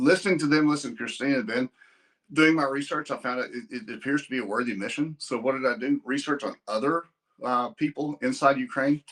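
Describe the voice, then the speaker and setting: A man with a Texas accent, fairly high in pitch, with ordinary pitch variation and a fairly quick pace. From Texas (Amarillo). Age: 60s. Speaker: donor and businessman. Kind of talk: casual chat. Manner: halting, repeating words; blunt, abrupt.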